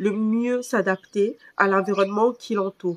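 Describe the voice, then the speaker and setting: This woman's voice sits fairly high, with ordinary pitch variation and a fairly slow pace. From Cameroon. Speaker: vlogger. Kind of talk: personal vlog. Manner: hesitant, many fillers.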